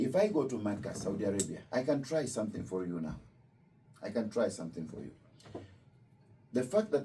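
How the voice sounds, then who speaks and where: A man talks at medium pitch in a dark, mellow tone, with lively intonation. His pace is fairly quick, yet he takes long, frequent pauses. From Kenya. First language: Luo. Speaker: imam. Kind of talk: religious talk to visitors. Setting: Islamic center with student visitors.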